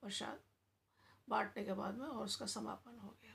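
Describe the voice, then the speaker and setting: Vocal fry runs through the speech, and the pitch varies in an ordinary way. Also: woman. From India, Agra (Uttar Pradesh). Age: 60s. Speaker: devotional storyteller. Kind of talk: casual storytelling.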